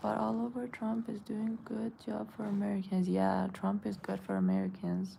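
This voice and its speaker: A slight Iranian accent with hardly any pauses. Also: woman, moderate pace. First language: Persian. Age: 20s. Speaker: beauty influencer. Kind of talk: live stream chat reading comments. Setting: live stream at home. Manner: casual, halting with self-corrections.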